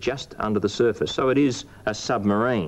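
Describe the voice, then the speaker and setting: Here a man talks at a moderate pace. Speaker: presenter. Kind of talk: tutorial. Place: studio.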